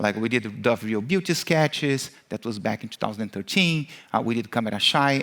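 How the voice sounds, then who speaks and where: With a Brazilian accent, a man talks at a fairly quick pace in a medium pitch. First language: Portuguese. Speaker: marketing executive, keynote speaker. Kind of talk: conference keynote. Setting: stage with audience. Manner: many fillers (uh, um).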